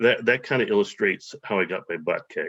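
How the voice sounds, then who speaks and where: A man with an American accent speaks at a moderate pace in a medium pitch with vocal fry, a bright, sharp tone and very wide pitch swings, on a very clean recording with a silent background. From United States. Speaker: business executive. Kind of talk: interview. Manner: halting.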